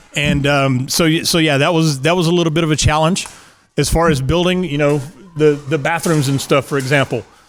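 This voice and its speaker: Over music in the background, a man with a slight West Texas accent talks fairly quickly at a fairly high pitch, his loudness very even and his intonation fairly even. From West Texas (Midland). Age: 50s. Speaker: pickleball facility owner. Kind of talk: interview. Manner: halting, many repeated words.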